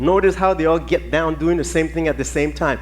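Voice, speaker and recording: A man's animated voice with a Virgin Islands accent, some room echo audible. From US Virgin Islands (Saint Thomas). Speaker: ballet teacher. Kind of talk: conference talk.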